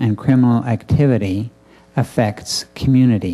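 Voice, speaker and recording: A man with a Canadian accent speaks at a very slow pace, medium in pitch and fairly even in intonation. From Canada, Winnipeg. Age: 60s. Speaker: restorative justice coordinator. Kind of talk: conference talk. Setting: room with audience. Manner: halting, many fillers.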